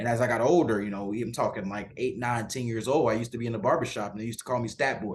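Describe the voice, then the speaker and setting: A man with an American accent talks at a very fast pace with hardly any pauses, using a medium pitch, fairly even intonation and a somewhat breathy voice. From Mississippi, US South. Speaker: sports reporter. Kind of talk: podcast interview.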